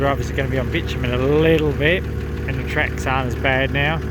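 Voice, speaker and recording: A man speaks fairly quickly at a very deep, low pitch in a monotone, flat delivery. Audible room echo and noticeable background noise fill the recording. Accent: Australian. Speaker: outback motorbike travel vlogger. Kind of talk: travel vlog narration. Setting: outdoors. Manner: casual, with many fillers.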